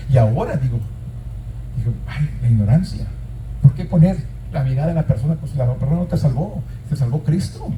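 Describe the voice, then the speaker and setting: A man talks at a fairly quick pace. Room echo is audible around his voice. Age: 60s. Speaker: pastor. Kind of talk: sermon. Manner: repetitive, emphatic preaching.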